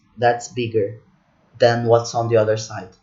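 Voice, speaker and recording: A somewhat breathy man speaks with a non-native accent. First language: not English. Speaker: spreadsheet tutorial instructor. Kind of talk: tutorial. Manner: halting, with many restarts.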